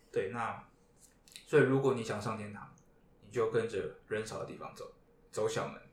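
The speech has big swings in loudness, long, frequent pauses and a moderate pace, with audible room echo. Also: man. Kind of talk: casual chat. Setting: live podcast with band guests.

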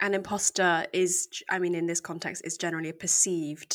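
In an English accent, a woman with a fairly low pitch speaks at a moderate pace with fairly even intonation, on a very clean recording with a silent background. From England. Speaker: podcast co-host. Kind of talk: casual discussion.

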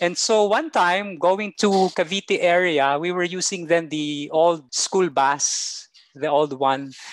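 A man with a high voice and ordinary pitch variation talks at a very slow pace with hardly any pauses. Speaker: teacher. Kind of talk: casual interview.

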